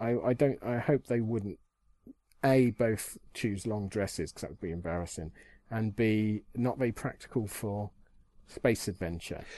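Against a quiet background, a man with a fairly low pitch and a dark, mellow tone talks at a moderate pace, showing ordinary pitch variation and big swings in loudness. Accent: British. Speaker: podcast co-host. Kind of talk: casual chat.

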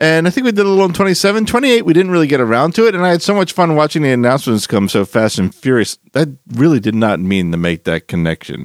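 Talking at a very fast pace, a man with a fairly high pitch makes very wide pitch swings. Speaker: podcast host. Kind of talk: casual chat. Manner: animated.

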